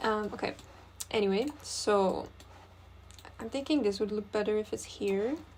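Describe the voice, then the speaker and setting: A woman with a non-native accent and a fairly high pitch talks at a moderate pace with ordinary pitch variation and long, frequent pauses. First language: not English. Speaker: graphic designer. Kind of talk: design tutorial think-aloud. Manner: casual, hesitant with fillers.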